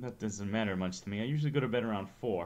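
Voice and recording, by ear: This is reading aloud in a natural voice. The text is read that way throughout.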